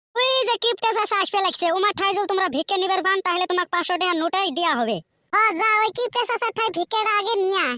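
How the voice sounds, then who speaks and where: A cartoonish character voice sits at an extremely high pitch. It moves at a fairly quick pace. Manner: impatient and brusque.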